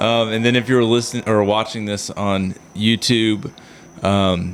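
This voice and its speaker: A man keeps his intonation fairly even while noticeable background noise sounds behind him. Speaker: podcast host. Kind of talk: podcast outro chat. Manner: slow talker.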